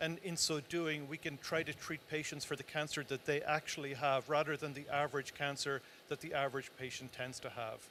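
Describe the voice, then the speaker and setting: A man's fairly high voice with an Irish accent, bright and sharp in tone, fairly quick and monotone in flat intonation. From Ireland, Tipperary. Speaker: cancer research director. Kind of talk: interview.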